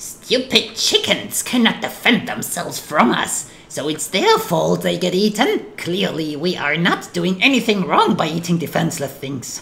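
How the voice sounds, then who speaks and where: Clear background noise sits behind a put-on character voice. It speaks at a middle pitch and a moderate pace. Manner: evil, silly, mock-villainous.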